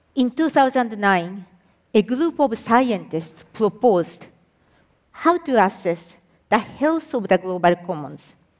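In a Japanese accent, a woman speaks at a very slow pace. Her fairly high voice swings very widely in pitch. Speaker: environmental agency executive. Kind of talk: public talk.

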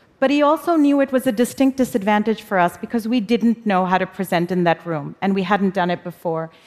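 With an ordinary speaking voice at medium pitch, a woman talks fairly quickly, with lively intonation and hardly any pauses. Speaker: corporate executive and speaker. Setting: stage with audience.

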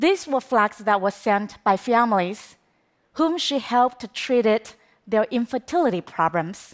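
A woman's fairly high voice with a Chinese accent on a very clean recording with a silent background. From China. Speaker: documentary filmmaker. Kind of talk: talk to an audience. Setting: stage with audience.

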